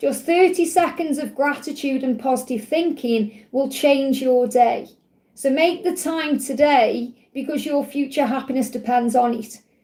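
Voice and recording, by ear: A woman's high voice carries a dark, mellow tone amid audible room echo. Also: ordinary pitch variation, fairly slow pace.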